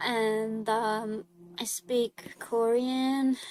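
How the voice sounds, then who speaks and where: Her voice is fairly high in pitch, and this woman keeps a fairly even intonation. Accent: Hungarian. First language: Hungarian. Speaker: artist streamer. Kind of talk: casual chat. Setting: live stream. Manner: casual.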